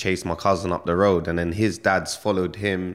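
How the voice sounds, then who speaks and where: On a very clean recording with a silent background, a man with a London accent and a very deep, low pitch talks at a fairly quick pace. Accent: London street English. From London, England (Stonebridge, northwest London). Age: 30s. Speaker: rapper. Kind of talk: casual interview.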